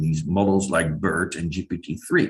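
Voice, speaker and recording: In a Dutch accent, a man speaks at a moderate pace with a fairly low pitch. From Netherlands. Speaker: linguistics professor. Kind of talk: lecture. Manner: hesitant, many fillers.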